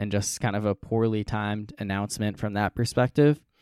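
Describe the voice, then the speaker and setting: In a very clean recording with a silent background and a dry, close sound with no echo, a man with an unremarkable speaking voice speaks at a moderate pace, at a fairly low pitch and with fairly even intonation. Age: 20s. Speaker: sports podcast host. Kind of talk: casual chat.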